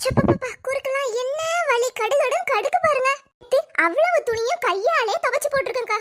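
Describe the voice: A cartoonish character voice with lively intonation. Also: woman, extremely high pitch for a woman, moderate pace.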